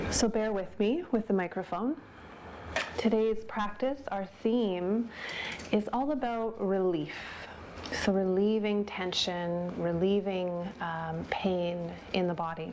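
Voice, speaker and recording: Soft-spoken and at a very slow pace, a woman talks at medium pitch with ordinary pitch variation over noticeable background noise. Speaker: yoga teacher. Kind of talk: guided yoga class.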